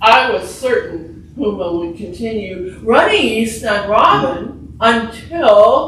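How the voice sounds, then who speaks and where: With very wide pitch swings, a fairly high-pitched woman speaks very slowly amid audible room echo and noticeable background noise. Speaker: writer. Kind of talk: reading aloud. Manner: projected, stage-trained.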